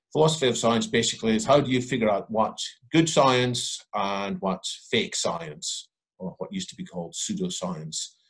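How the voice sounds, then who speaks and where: Somewhat breathy, a man's voice shows very wide pitch swings and big swings in loudness. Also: medium pitch for a man, moderate pace, quiet background. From England. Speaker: author and futurist. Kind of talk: panel discussion. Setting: video call. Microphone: headset.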